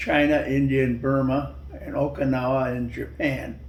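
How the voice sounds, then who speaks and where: Noticeable background noise fills the clip as a man talks at a very slow pace. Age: 80s+. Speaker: war veteran. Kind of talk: interview answer. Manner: slow, hesitant.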